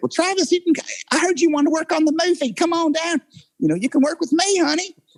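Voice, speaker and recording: In a put-on character voice, the speaker rattles along at a very fast pace with an extremely high pitch. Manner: warm, inviting.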